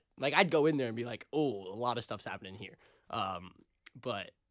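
At a fairly quick pace, a man talks with a slight Boston accent. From Boston area, US. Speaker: podcast host, college student. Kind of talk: casual chat.

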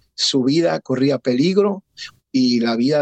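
Here is a man with a plain, everyday voice. His pitch is medium, with ordinary variation. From Puerto Rico, raised in Connecticut. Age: 50s. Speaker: pastor. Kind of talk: testimony.

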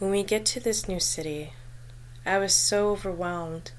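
With audible room echo, a woman speaks at a moderate pace, using a fairly low pitch and ordinary pitch variation. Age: 20s. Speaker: podcast host sharing personal mental health story. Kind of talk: personal testimony monologue.

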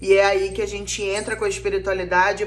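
A woman talks with lively intonation. Noticeable background noise runs under her voice. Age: 30s. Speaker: spiritual counselor and podcast host. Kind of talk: casual monologue.

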